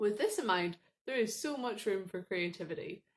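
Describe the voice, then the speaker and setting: A woman with a Northern Irish accent speaks at a moderate pace. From Northern Ireland. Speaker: student ministry staff worker. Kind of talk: recorded training talk.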